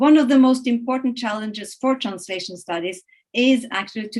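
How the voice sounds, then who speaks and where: Ordinary pitch variation from a woman with a fairly high voice. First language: Norwegian and Italian. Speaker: research centre director. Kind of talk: welcome address. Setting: webinar. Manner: halting, many fillers.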